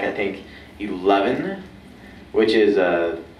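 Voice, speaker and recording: A man talks amid light background noise, his voice picking up audible room echo. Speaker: actor guest at fan convention. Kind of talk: casual Q&A answer. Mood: playful, enthusiastic. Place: hall. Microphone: pa.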